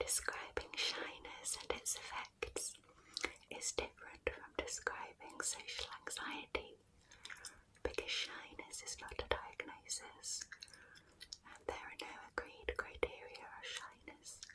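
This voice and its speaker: Whispering at a fairly slow pace in a British accent. Background noise is noticeable throughout. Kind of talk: ASMR non-fiction reading. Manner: whispered; soft, slow, relaxing.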